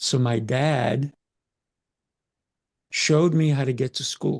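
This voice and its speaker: A man's medium-pitched, somewhat breathy voice carries ordinary pitch variation in a dry, close sound with no echo. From Colombia, moved to US at about eight. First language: Spanish. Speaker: communication coach. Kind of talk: podcast interview.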